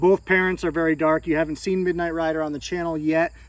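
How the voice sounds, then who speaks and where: The recording is very clean, and nothing can be heard behind the voice. The speaker is a man. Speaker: snake breeder, reptile channel host. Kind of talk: casual show-and-tell video. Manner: loud at moments.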